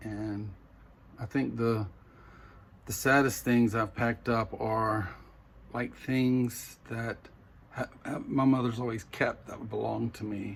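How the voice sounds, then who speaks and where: Very slow speech with a Southern US accent, long and frequent pauses, and fairly even intonation. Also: man, medium pitch for a man. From US South. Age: 60s. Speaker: vlogger. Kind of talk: personal vlog. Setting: home bedroom. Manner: halting.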